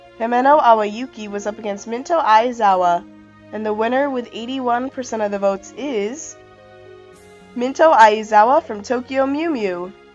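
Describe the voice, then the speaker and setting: A woman talks while music plays behind her. Her voice sits fairly high and varies in pitch in an ordinary way. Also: moderate pace, big swings in loudness. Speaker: anime contest host. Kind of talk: casual contest results announcement.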